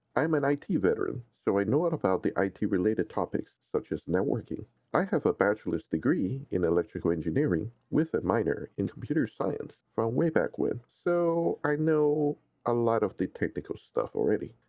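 This man's voice sits at a medium pitch with vocal fry, moving through very wide pitch swings at a moderate pace while his loudness stays very even. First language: not English. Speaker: IT professional and tech YouTuber. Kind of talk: tutorial.

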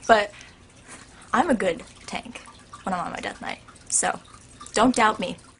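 The speech moves at a moderate pace in an animated tone, with big swings in loudness and ordinary pitch variation. Long, frequent pauses break it up, and noticeable background noise sits behind it. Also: woman, fairly high pitch for a woman. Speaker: YouTuber. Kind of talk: casual vlog Q&A.

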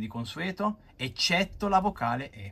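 A man talks at a fairly slow pace with very wide pitch swings. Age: 20s. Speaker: comic book collector and reviewer; comic book collector, reviewer. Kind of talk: video review monologue. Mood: enthusiastic, nostalgic. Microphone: phone near.

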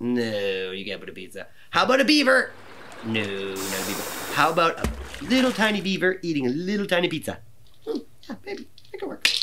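A man speaks at a fairly quick pace with big swings in loudness. Background noise is noticeable. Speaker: presenter. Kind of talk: children's show presenting. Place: studio.

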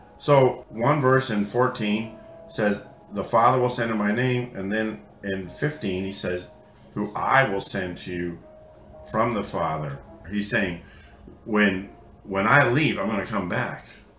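Long, frequent pauses break up fairly slow speech with ordinary pitch variation, heard in audible room echo with faint music in the background. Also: man, fairly low pitch for a man. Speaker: bible teacher. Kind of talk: sermon. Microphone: webcam.

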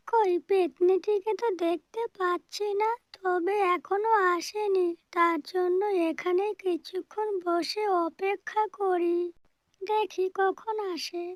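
In a cartoonish character voice, the speaker talks very slowly at an extremely high pitch. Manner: gentle, anxious.

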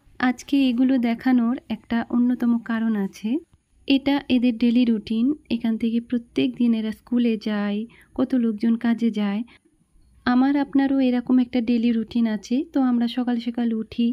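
A woman speaks with a high pitch and a dark, mellow tone. Her intonation stays monotone and flat. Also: quiet background. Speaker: home vlogger. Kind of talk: casual vlog chat. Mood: calm, reflective, religious. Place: home room. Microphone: phone near.

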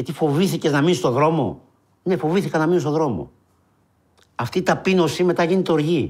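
This man talks at a fairly quick pace with long, frequent pauses and a fairly high pitch. There is vocal fry, ordinary pitch variation and a quiet background. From Greece (Peloponnese and Epirus roots); Greece. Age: 40s. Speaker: unemployed marketing worker, soup kitchen organiser; interviewee. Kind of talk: testimony. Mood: emotional, earnest, sorrowful. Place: studio.

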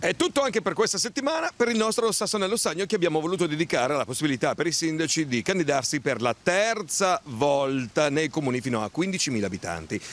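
Talking very fast with hardly any pauses, a man with a fairly high voice swings his pitch very widely at very even loudness in a dry sound with no echo. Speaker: TV reporter. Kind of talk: vox pop street interviews. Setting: outdoors on the street. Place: street. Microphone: handheld.

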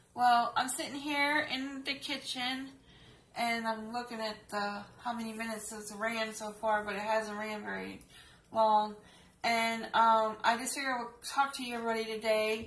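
A woman's monotone, flat delivery at a moderate pace, with audible room echo. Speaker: home vlogger. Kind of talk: casual vlog chat. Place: kitchen. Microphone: webcam.

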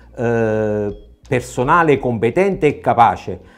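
The man's speech carries lively intonation. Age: 60s. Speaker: mayoral candidate, nurse; candidate. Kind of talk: political interview. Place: studio. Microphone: lapel.

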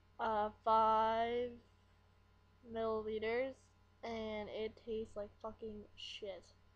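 A woman mumbles at a very slow pace with long, frequent pauses. Her fairly high voice stays monotone and flat. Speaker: vlogger. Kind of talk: casual vlog talk to camera. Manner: mumbling. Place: home room. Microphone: webcam.

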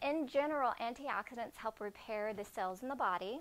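Lively intonation carries over light background noise. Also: woman. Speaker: presenter. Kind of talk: cooking demo presentation. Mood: friendly, upbeat.

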